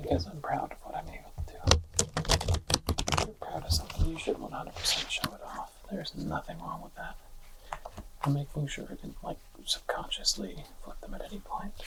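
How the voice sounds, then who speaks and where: Soft-spoken and whispering, the delivery runs at a fairly quick pace. Long, frequent pauses break it up against noticeable background noise. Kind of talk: ASMR card review. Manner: soft-spoken, whispered.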